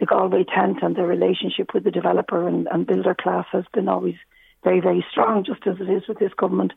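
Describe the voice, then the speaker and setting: A woman with a Dublin accent talks at a very fast pace. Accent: Irish, Dublin. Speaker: politician. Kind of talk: radio interview. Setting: phone call. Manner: hesitant, many fillers.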